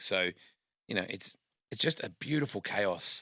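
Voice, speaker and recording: Very fast speech comes from a man with a bright, sharp tone. The recording is very clean, with a silent background and a dry, close sound with no echo. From Western Australia (Perth). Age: 50s. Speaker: motorsport commentator. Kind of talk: casual interview chat.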